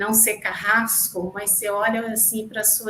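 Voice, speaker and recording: Audible room echo carries a woman's voice, pitched fairly high. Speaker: podcast co-host. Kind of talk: interview podcast. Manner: slow.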